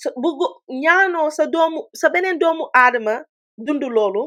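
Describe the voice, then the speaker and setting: Against a quiet background, a woman with a Senegalese accent speaks at a moderate pace with lively intonation. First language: Wolof. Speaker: online commentator. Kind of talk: livestream commentary. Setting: livestream. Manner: code-switching English and Wolof.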